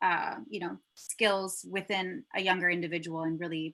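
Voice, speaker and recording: A woman's bright, sharp tone at a fairly low pitch, with fairly even intonation and a moderate pace. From Michigan and Germany. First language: German. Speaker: commercial producer. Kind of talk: interview conversation.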